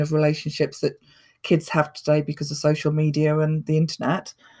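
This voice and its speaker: In a very clean recording with a silent background, a woman talks at a fairly quick pace, somewhat breathy, with a dark, mellow tone and a very deep, low pitch. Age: 40s. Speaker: person in recovery. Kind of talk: interview testimony.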